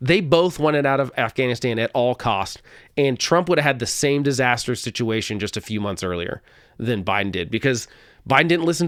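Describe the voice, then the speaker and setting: A man with a slight Oklahoma accent, medium in pitch with lively intonation, on a very clean recording with a silent background. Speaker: political podcast host. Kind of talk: solo political commentary. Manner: conversational, with frequent self-corrections and repeats.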